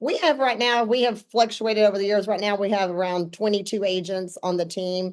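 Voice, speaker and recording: A woman with an Arkansas accent at a medium pitch, ordinary pitch variation and a fairly quick pace. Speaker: real estate team owner. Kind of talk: podcast interview.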